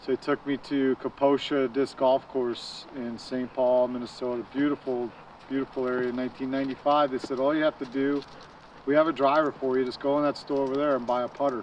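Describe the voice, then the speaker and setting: Over noticeable background noise, a man with an American accent talks at a fairly quick pace. His medium-pitched voice is monotone and flat. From Long Island, New York. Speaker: disc golfer, former club board member. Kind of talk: casual interview. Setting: outdoors at a disc golf course.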